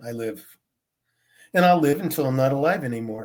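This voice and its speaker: An American-accented man at a very fast pace, fairly high-pitched, with very wide pitch swings. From Pennsylvania, US. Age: 70s. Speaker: recovering alcoholic sharing his story. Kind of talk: interview testimony. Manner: casual, conversational.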